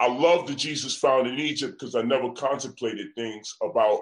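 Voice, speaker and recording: At a moderate pace, a man talks with a New York accent. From US Northeast. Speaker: event promoter. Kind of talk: heated debate.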